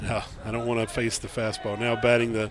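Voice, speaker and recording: Moderate pace, monotone, flat intonation, and noticeable background noise. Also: man. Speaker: baseball color commentator. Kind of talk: live sports commentary. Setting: broadcast booth.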